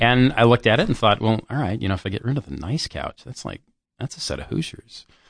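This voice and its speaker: Against a quiet background, the speaker races along at a very fast pace with vocal fry, lively intonation and big swings in loudness. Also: man, medium pitch for a man. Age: 30s. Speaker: automotive journalist. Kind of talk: casual chat. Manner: animated.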